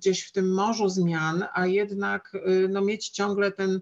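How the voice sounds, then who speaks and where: The speech is very slow with monotone, flat intonation against a quiet background. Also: woman. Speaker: seminar panelist from business; panelist. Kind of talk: panel discussion. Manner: hesitant, many fillers. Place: home room. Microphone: video call.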